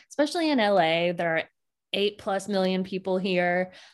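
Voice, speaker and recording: At a medium pitch, a woman speaks in a plain, everyday voice. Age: 30s. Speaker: social media influencer and home cook. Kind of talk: casual interview.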